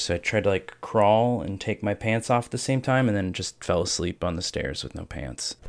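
A man with an American accent, a normal speaking voice, a fairly quick pace and ordinary pitch variation. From US Ohio. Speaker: streamer. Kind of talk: casual chat.

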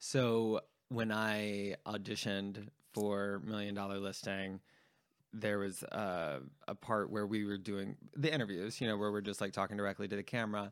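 A man speaks at a moderate pace with fairly low pitch. His voice is unremarkable, and his intonation is fairly even. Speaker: podcast host. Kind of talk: casual chat. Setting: home living room.

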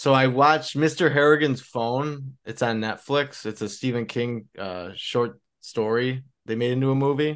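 A man speaks in an ordinary speaking voice, his medium pitch showing ordinary variation as he goes at a moderate pace. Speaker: podcast host. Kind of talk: casual chat.

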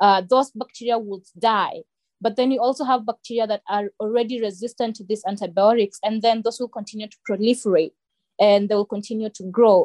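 In a dry, close sound with no echo, a woman with a normal speaking voice talks at a fairly quick pace and fairly high pitch, her intonation fairly even but her loudness swinging widely. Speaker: assistant engineer and team member. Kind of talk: casual educational podcast discussion.

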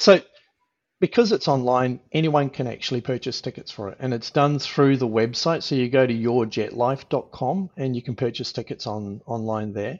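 Speaking with an Australian accent, a man uses a medium pitch. His pace is moderate, with ordinary pitch variation. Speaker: helicopter pilot. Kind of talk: interview. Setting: video call.

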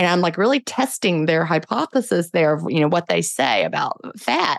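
With an ordinary speaking voice, a woman of fairly low pitch talks at a moderate pace and with lively intonation, on a very clean recording with a silent background and a dry, close sound with no echo. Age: 50s. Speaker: author and podcaster. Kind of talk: interview.

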